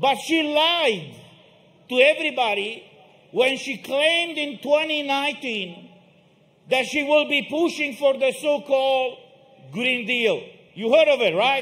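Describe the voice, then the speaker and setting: A man speaks at an extremely high pitch and a fairly slow pace. Long, frequent pauses break up his speech. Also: ordinary pitch variation. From Romania. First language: Romanian. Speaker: protest speaker. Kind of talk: rally speech. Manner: emphatic.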